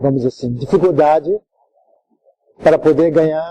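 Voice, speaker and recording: This man's tone is dark and mellow. His pitch varies in an ordinary way. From Japan. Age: 70s. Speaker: judo master. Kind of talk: interview. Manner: halting. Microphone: poor audio, later improved.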